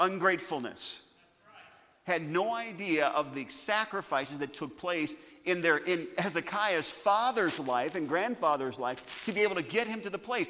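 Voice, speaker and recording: Over noticeable background noise, a high-pitched man talks at a moderate pace with lively intonation. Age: 50s. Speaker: pastor. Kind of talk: sermon.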